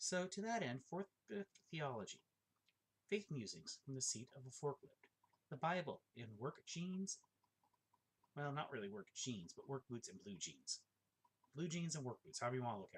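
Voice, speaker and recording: A man speaks at a moderate pace in a fairly high, somewhat breathy voice with very wide pitch swings. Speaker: forklift operator and amateur theology writer. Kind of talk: casual monologue. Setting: at home. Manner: halting.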